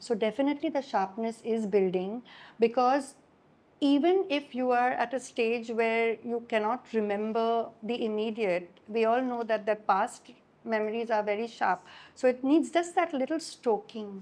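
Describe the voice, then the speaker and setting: A woman with a Gujarati accent talks at a moderate pace and a fairly high pitch, with ordinary pitch variation. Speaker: writer and journalist. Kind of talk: public talk conversation.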